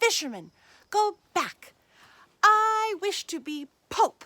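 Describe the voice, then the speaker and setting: A woman performs a put-on character voice that is squeaky and extremely high. She speaks at a very slow pace. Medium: read story. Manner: imperious, demanding.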